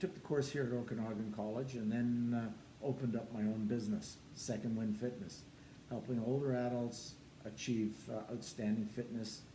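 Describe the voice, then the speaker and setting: In a room with audible echo, a man with a Canadian accent speaks at a moderate pace in a medium-pitched, somewhat breathy voice, dark and mellow in tone, with ordinary pitch variation. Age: 70s. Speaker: personal trainer and former soldier. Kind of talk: testimony.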